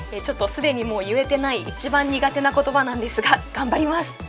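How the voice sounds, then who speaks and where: Clear music runs in the background. Over it, a woman talks at a moderate pace. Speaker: news anchor. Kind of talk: casual talk to camera, tongue twister challenge. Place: studio. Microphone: lapel.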